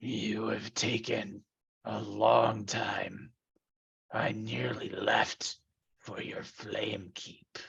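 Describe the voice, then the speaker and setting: A gravelly, raspy put-on character voice from a man, delivered at a very slow pace. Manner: terrifying.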